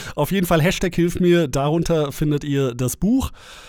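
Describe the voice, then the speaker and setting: The recording of this man is very clean, with a silent background. His pitch varies in an ordinary way. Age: 30s. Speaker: dating coach and podcast host. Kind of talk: solo podcast monologue. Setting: home recording. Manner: casual, filler-heavy.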